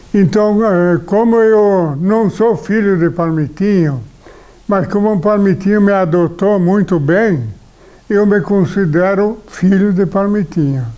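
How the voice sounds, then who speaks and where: Very slowly and at very even loudness, a man speaks in a high pitch with ordinary pitch variation and a dark, mellow tone. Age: 80s+. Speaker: retired shopkeeper. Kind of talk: oral history interview. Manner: halting.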